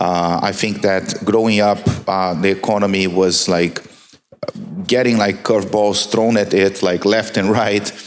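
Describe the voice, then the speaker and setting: With a Brazilian accent, a man talks at a fairly slow pace in a fairly low, monotone, flat voice at very even loudness, with audible room echo and music in the background. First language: Portuguese. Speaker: marketing executive, panelist. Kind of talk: panel discussion. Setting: conference stage with audience.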